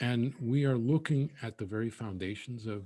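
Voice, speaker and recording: A man's somewhat breathy voice with an American accent, at a fairly slow pace with ordinary pitch variation. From New York. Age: 60s. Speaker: poet. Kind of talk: Q&A discussion. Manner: halting, many fillers.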